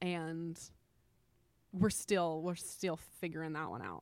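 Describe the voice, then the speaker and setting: Speaking fairly slowly with fairly even intonation, a woman with a fairly low voice is captured in a very clean recording against a silent background. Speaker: entrepreneur and money coach. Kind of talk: interview conversation.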